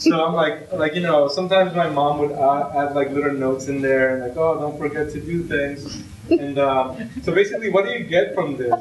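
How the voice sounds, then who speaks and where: A man speaks at a moderate pace. Room echo is audible, and background noise is noticeable. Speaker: ITP alumnus pitching a hackathon project. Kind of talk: informal project pitch. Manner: halting, many fillers.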